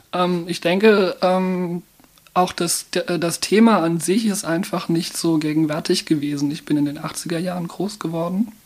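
A woman speaks fairly slowly in a normal speaking voice. Her pitch is fairly low and her intonation fairly even. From Mannheim, Germany. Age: 30s. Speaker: transgender counselor and volunteer. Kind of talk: interview. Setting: studio.

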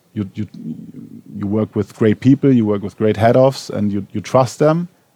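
The dry, close recording with no echo carries a man's fairly low voice in a German accent. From Germany, Berlin. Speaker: TV showrunner. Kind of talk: on-stage panel interview. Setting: cinema stage with audience. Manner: halting, many fillers.

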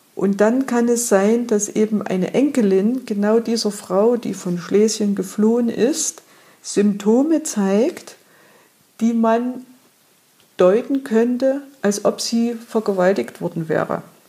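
Very slowly, a woman speaks in a fairly high, somewhat breathy voice with a dark, mellow tone and ordinary pitch variation. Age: 50s. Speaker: trauma therapist. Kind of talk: interview.

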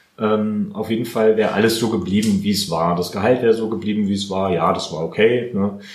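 Talking at a fairly quick pace with hardly any pauses, a man with a fairly low pitch comes through audible room echo and noticeable background noise. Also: ordinary pitch variation. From Heidelberg, Germany. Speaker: videographer and photographer. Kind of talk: interview, casual chat.

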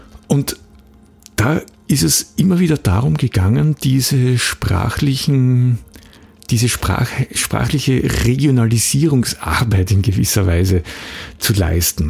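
A man at a medium pitch talks at a very slow pace with long, frequent pauses and very wide pitch swings. His loudness stays very even, and there is noticeable background noise. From Austria, Graz. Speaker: podcast host, copywriter and trainer. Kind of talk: solo podcast monologue. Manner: untrained, occasional hesitations.

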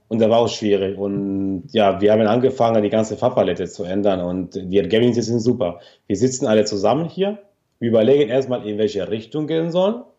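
A man speaks with a Spanish accent at a fairly quick pace. His fairly low voice shows ordinary pitch variation against a quiet background. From Argentina. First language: Spanish (speaking German). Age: 30s. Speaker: yarn company owner. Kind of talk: interview. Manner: halting.

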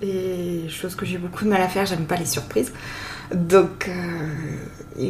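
A woman talks very slowly in a fairly low pitch, her intonation fairly even. Noticeable background noise and audible room echo fill the recording. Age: 40s. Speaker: nurse, bride. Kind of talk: casual interview. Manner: hesitant, halting.

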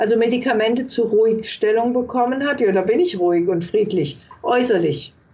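Amid noticeable background noise, a woman with a fairly high voice talks at a moderate pace, with lively intonation and very even loudness. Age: 60s. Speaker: palliative care nurse and author. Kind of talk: interview.

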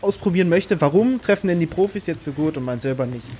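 A man speaks in a Berlin accent. His pitch is high. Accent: Berlin dialect, grown stronger over time. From Brandenburg, Germany. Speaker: professional darts player. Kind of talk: casual chat.

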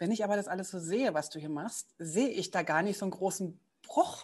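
Over a quiet background, a woman speaks at medium pitch with ordinary pitch variation. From East Berlin. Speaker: podcast host. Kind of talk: casual interview.

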